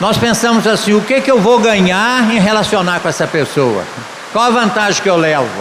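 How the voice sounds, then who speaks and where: A high-pitched man speaks at a moderate pace with ordinary pitch variation and very even loudness. There is audible room echo and noticeable background noise. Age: 70s. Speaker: pastor. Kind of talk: sermon. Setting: church conference.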